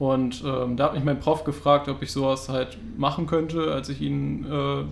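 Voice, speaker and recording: A man is speaking. His pitch is medium. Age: 20s. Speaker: podcast co-host, student. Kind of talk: casual chat.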